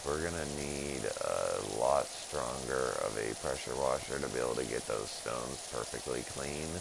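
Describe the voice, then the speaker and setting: A man talking at a fairly slow pace, with audible room echo and noticeable background noise. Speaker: gaming streamer. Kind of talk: live stream gameplay commentary. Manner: halting, stumbling over words; casual, rambling.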